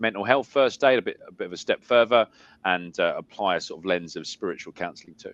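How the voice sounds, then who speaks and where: This man talks at a very fast pace with an English accent, ordinary pitch variation, and a dry, close sound with no echo. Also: quiet background. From South London, England. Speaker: spiritualist medium and minister. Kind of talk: interview. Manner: halting, many fillers and repeats.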